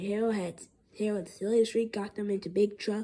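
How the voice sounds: The reading sounds natural.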